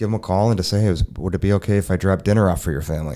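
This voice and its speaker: The voice has a dark, mellow tone and an American accent in a very clean recording with a silent background. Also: man. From Minnesota (Burnsville). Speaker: mortgage consultant. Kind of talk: casual interview.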